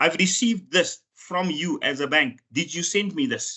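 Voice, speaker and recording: With a non-native accent, the speaker uses lively intonation. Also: man. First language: not English. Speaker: financial regulator official. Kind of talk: webinar presentation. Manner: halting, with repeated words and fillers.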